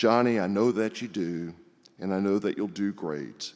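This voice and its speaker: At a moderate pace, a man speaks with a fairly low pitch. His pitch variation is ordinary. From US South, Houston, Texas. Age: 60s. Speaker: congregation member speaker. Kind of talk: personal testimony speech.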